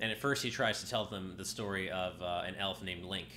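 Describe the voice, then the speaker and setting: Music plays in the background as the speech, at a moderate pace, carries audible room echo. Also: man. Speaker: game streamer. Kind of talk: casual gameplay commentary. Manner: hesitant with many fillers.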